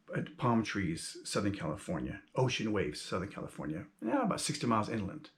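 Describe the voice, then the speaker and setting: Very wide pitch swings at a fairly quick pace, over noticeable background noise. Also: man, medium pitch for a man. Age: 50s. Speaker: YouTuber and self-published author. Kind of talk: casual monologue vlog. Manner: conversational with many fillers.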